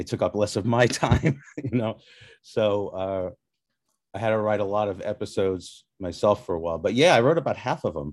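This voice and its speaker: A man talks at a moderate pace in an ordinary speaking voice, pitched fairly low. His intonation is lively. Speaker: head writer. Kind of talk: interview.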